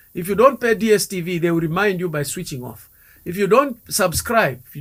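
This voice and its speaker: Over a silent background in a very clean recording, a man talks at a moderate pace with a high pitch and lively intonation. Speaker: guest expert on wealth. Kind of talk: radio interview. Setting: radio studio. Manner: repetitive, hesitant fillers.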